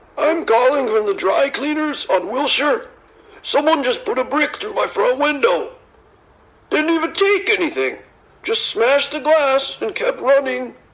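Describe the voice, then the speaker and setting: A put-on character voice, high in pitch with very wide pitch swings, moves along at a moderate pace. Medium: audio drama. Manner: exasperated, grumbling.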